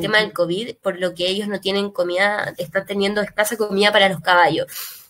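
A woman speaks at a fairly quick pace. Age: 20s. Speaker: animal rights campaign spokesperson. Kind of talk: online talk. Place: home room. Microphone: earbuds.

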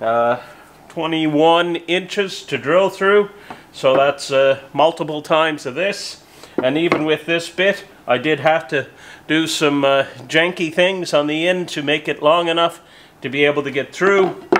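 A man at a fairly slow pace, his intonation fairly even, with noticeable background noise around him. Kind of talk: tutorial. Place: workshop.

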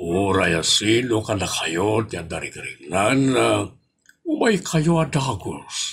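Very slow, raspy speech. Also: man. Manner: calm, advising.

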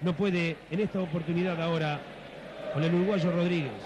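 Despite noticeable background noise, a high-pitched man can be heard talking at a fairly quick pace. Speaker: football play-by-play commentator. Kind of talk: live commentary. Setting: stadium broadcast booth. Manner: animated, excited.

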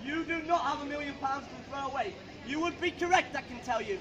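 Noticeable background noise sits behind the voice. A man talks at a moderate pace with an extremely high pitch. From United Kingdom. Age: young. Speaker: street preacher. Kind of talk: open-air street sermon. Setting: outdoors. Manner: passionate. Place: street. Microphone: camera far.

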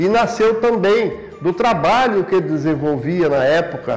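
Faint music plays in the background as a man speaks in a high pitch with ordinary pitch variation. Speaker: local politician. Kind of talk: interview answer. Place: office.

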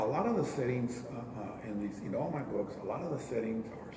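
Moderate-paced speech from a man, ordinary in pitch variation, with noticeable background noise. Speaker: interviewee. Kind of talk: interview answer. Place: meeting room. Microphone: camera far.

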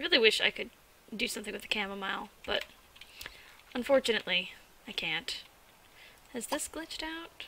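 A woman's fairly high voice with very wide pitch swings and a fairly quick pace broken by long, frequent pauses, with noticeable background noise. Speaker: gaming video creator. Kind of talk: let's play commentary. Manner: animated.

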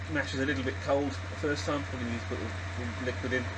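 A man talks at a fairly quick pace while loud background noise fills the clip. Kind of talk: tutorial. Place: workshop. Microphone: phone near.

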